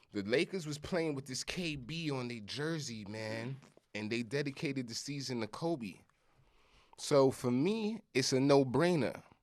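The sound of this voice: Very clean recording, silent background, a man with lively intonation at a fairly slow pace. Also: medium pitch for a man.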